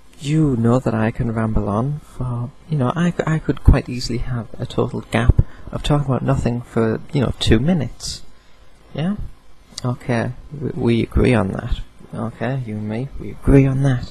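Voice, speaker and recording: Noticeable background noise sits behind a man speaking at a medium pitch and moderate pace with ordinary pitch variation. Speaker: video blogger. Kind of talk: casual vlog monologue. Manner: rambling with hesitations.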